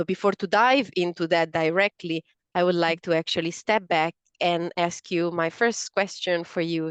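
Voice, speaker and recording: The sound is dry and close with no echo. A woman with an Italian accent speaks at a moderate pace in a fairly low pitch. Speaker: podcast host. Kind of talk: interview. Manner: halting, with fillers.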